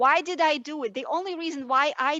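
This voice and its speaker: Projecting a raised voice with a bright, sharp tone, a woman with a non-native accent speaks with ordinary pitch variation, the sound dry and close with no echo. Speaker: panelist. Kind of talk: heated debate. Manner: animated.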